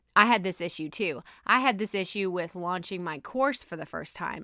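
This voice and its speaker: Bright and sharp in tone, a woman with a Texas accent speaks at a moderate pace and medium pitch with ordinary pitch variation, on a very clean recording with a silent background. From Texas, USA. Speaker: podcast coach. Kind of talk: podcast episode, casual talk.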